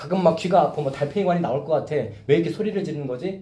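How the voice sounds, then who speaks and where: A man's voice with audible room echo. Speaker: pastor. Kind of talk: sermon. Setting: church youth service with two students. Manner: loud.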